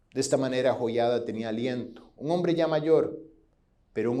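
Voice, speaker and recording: Audible room echo surrounds a man speaking in a dark, mellow tone with lively intonation. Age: 40s. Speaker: pastor. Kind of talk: sermon. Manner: halting.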